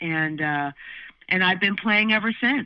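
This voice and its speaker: In an American accent, a woman talks at a moderate pace with ordinary pitch variation. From Southern California. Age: 60s. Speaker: musician and vocal/bass teacher. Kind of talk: interview conversation. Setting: podcast recording. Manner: halting, many fillers.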